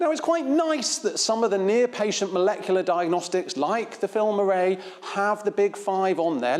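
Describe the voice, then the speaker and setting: Against noticeable background noise, a man with a Devon accent and a high pitch speaks with lively intonation. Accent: Devonian. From England, Devon. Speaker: infectious diseases physician. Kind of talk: conference talk.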